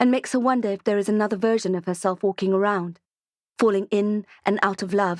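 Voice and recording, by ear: Reading aloud in a natural voice, fairly even intonation, quiet background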